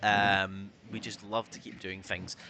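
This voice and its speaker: This man has a strong Scottish accent. His pitch sits fairly low. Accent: Scottish, thicker than usual. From Scotland. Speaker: community manager and stream host. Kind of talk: livestream news chat. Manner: casual, many fillers.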